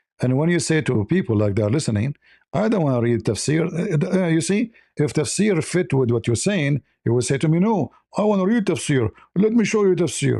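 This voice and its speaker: A dark, mellow tone in an Arabic accent, fairly quick, with very wide pitch swings, very even loudness and a dry, close sound with no echo. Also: man, fairly high pitch for a man. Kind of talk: heated debate. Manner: animated.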